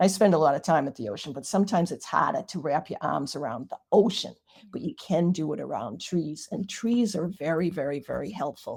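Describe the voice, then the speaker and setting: A woman's fairly low voice with vocal fry, lively intonation, a fairly quick pace and hardly any pauses. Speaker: Reiki master and author. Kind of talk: interview.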